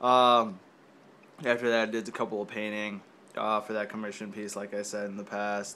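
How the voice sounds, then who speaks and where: A man speaks at a moderate pace with a fairly low pitch and a bright, sharp tone. His intonation stays monotone and flat over light background noise. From Mexico. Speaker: video blogger. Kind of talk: casual vlog. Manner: hesitant, many fillers. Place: home room. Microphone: phone near.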